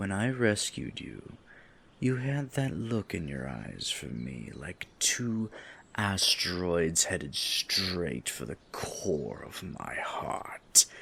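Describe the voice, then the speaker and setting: A man does a raspy put-on character voice, very deep and low, speaking very slowly with very wide pitch swings. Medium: role play. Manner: seductive, teasing.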